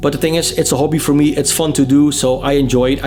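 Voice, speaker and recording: A man talks at a fairly quick pace in a Dutch accent, his intonation monotone and flat. Music plays in the background. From Netherlands. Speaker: music vlogger and interviewer. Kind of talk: casual Q&A vlog. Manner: hesitant, many fillers and repetitions.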